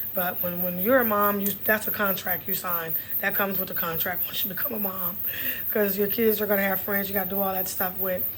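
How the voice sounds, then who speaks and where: Speaking at a fairly quick pace with a Texas accent, a woman keeps a medium pitch and monotone, flat intonation over noticeable background noise. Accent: Texas twang. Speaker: podcast host. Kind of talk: casual health talk monologue. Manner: conversational, repetitive.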